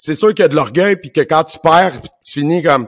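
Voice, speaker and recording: Recorded with a dry, close sound and no echo, a man with a Quebec accent talks at a fairly quick pace in a high pitch with ordinary pitch variation. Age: 40s. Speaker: martial arts instructor and podcast host. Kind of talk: casual conversation.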